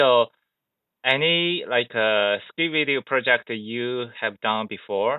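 A man with a Chinese accent, talking at a very slow pace. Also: medium pitch for a man, ordinary pitch variation. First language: Mandarin Chinese. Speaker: skateboarding podcast host. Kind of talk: interview; scripted narration.

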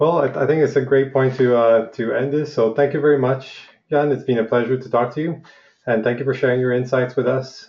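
At a fairly quick pace, a man uses an unremarkable speaking voice of medium pitch with fairly even intonation. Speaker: podcast host. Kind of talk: interview.

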